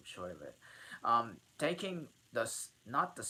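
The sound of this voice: Reading voice, unforced.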